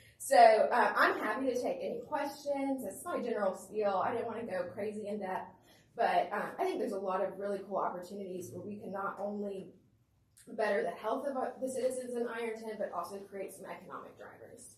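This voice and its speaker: Her voice fairly high in pitch, a woman shows ordinary pitch variation and big swings in loudness, with audible room echo. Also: fairly quick pace. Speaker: presenter to city council. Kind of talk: public presentation at council meeting. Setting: city council meeting. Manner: fast.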